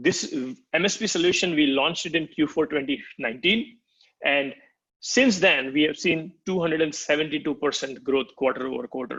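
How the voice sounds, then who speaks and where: Man with a normal speaking voice, fairly high pitch, lively intonation and a moderate pace. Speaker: product marketing executive. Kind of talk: product demo walkthrough.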